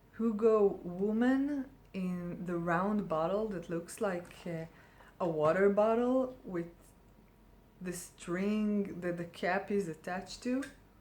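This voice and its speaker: Very slowly and with ordinary pitch variation, a woman speaks with a non-native accent amid audible room echo. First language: not English. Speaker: perfume reviewer. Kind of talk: casual product review. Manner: hesitant, many fillers.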